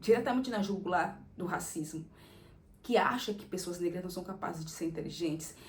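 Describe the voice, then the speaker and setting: Audible room echo surrounds a somewhat breathy woman whose pitch varies in an ordinary way. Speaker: content creator. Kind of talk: casual monologue.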